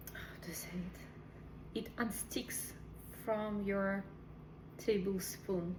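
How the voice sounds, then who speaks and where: Speaking very slowly with long, frequent pauses, a woman with a non-native accent and a medium pitch uses a monotone, flat intonation amid noticeable background noise and audible room echo. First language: not English. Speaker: cooking video host. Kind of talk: cooking tutorial. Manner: halting.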